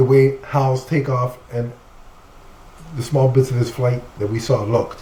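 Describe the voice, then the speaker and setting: A man of medium pitch speaks at a fairly slow pace in monotone, flat intonation, with long, frequent pauses. Noticeable background noise runs underneath. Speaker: comic book podcast co-host. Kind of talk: casual chat.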